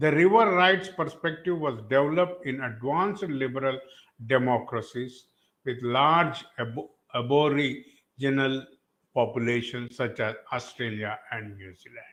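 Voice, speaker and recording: In an Indian accent, a man of medium pitch talks at a fairly slow pace, with lively intonation and big swings in loudness. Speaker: environmental activist. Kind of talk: panel talk. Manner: halting.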